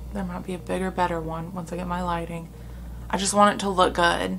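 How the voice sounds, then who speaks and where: Audible room echo hangs around this clip. Within it, a woman speaks at a moderate pace. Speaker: beauty vlogger. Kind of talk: makeup tutorial chat. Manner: soft-spoken; casual, chatty.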